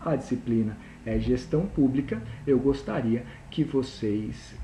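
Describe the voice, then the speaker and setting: In a room with audible echo, a man with a dark, mellow, somewhat breathy tone speaks fairly slowly with ordinary pitch variation. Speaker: university lecturer. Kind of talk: recorded lecture.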